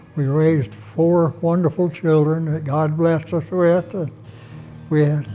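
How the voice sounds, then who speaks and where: Fairly slow, fairly even-toned male speech over background music. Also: fairly high pitch for a man. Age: 80s+. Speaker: widower. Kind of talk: testimony.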